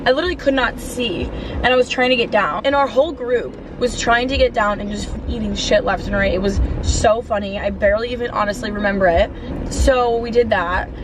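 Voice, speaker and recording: A woman talks at a fairly high pitch while noticeable background noise carries on behind her. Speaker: vlogger. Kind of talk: casual vlog story time. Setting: in a car. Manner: animated.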